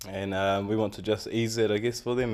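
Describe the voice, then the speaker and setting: On a very clean recording with a silent background, a man with a New Zealand accent talks very fast at a fairly low pitch in a monotone, flat way. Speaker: community event organiser. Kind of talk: tv interview. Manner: halting, many fillers.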